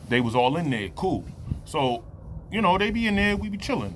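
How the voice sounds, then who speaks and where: Speaking with an American accent, a man keeps a fairly quick pace. His tone is animated. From New Jersey. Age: 30s. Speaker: testimony vlogger. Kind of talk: testimony. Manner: animated storytelling; casual, filler-heavy.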